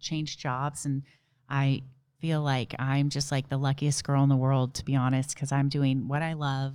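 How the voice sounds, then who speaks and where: With an American accent, a woman talks at a very deep, low pitch. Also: very clean recording, silent background. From southern California. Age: 30s. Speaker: ultramarathoner and nurse. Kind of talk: casual interview.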